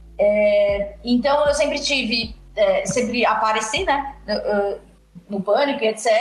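Amid noticeable background noise and audible room echo, a woman speaks at a very slow pace in a high pitch with ordinary pitch variation. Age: 30s. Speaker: radio personality and podcaster. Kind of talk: casual chat.

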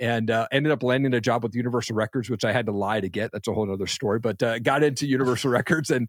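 On a very clean recording with a silent background and a dry, close sound with no echo, a man with an American accent talks at a very fast pace with ordinary pitch variation. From Eastern Washington State, US. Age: 40s. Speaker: entrepreneur and podcast host. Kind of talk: interview.

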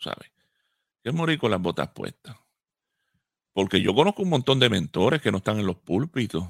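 A man at medium pitch talks at a fairly quick pace with long, frequent pauses and very wide pitch swings, in a dry, close sound with no echo on a very clean recording with a silent background. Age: 50s. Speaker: pastor and radio co-host. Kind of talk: radio talk show discussion.

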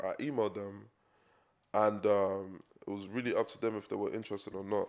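A man talks at a moderate pace in a London accent, with fairly even intonation. The recording is very clean, with a silent background. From England. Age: 20s. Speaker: fashion designer. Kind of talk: casual chat.

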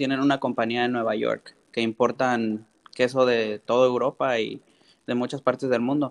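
A man speaks with a Mexico City accent. The sound is dry and close with no echo, and the background is quiet. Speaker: chef. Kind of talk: interview.

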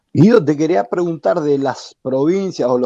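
With a dark, mellow tone and lively intonation, a man speaks at a fairly slow pace. The sound is dry and close with no echo, over a quiet background. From Chaco, Argentina. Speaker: podcast co-host and former footballer. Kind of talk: casual chat. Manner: halting.

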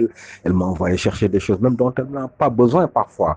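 At a fairly quick pace, a man with a dark, mellow tone and ordinary pitch variation speaks in a dry, close sound with no echo. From Senegal. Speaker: father giving testimony. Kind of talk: testimony.

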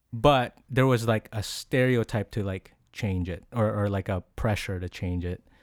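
A man with a Filipino accent speaks at a fairly slow pace in a fairly low pitch with ordinary pitch variation and hardly any pauses, in a very clean recording with a silent background and a dry, close sound with no echo. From Philippines. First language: Tagalog. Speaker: podcast host. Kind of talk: casual interview.

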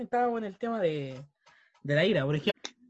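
A man with a Chilean accent talks at a fairly quick pace. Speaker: podcast co-host. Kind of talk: casual chat.

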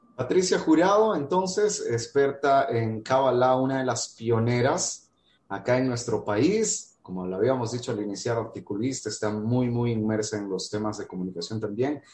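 This man talks at a moderate pace with hardly any pauses. His medium pitch carries lively intonation. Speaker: radio interview host. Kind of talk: interview. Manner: hesitant with filler words.

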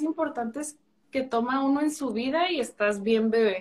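A woman speaks at a moderate pace. Her pitch is high, with ordinary variation. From Chihuahua, northern Mexico. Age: 30s. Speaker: pain medicine physician. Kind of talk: interview.

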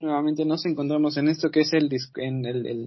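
An unremarkable speaking voice from a man, fairly high in pitch with fairly even intonation. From Mexico. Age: 20s. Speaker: podcast host. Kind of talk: casual chat. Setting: video call.

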